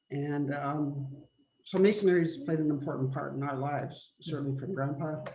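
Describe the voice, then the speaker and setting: A man with a Canadian prairie accent speaks in a fairly high voice at a moderate pace. Room echo is audible. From Manitoba, Canada. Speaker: family member. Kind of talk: memorial remarks on a family video call.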